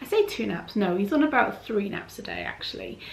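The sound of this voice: A woman at medium pitch with vocal fry, very wide pitch swings and a fairly quick pace, in audible room echo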